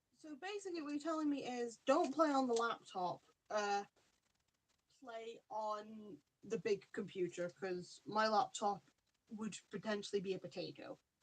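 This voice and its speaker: Quiet and fairly high, a woman's voice moves at a moderate pace with very wide pitch swings. She leaves long, frequent pauses. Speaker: podcast co-host. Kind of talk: casual chat.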